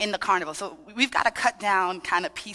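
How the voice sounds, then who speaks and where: In an American accent, this voice sounds animated, bright and sharp, recorded dry and close with no echo. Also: woman. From Trinidadian family in Brooklyn, New York. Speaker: dance fitness instructor. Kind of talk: workshop with audience participation.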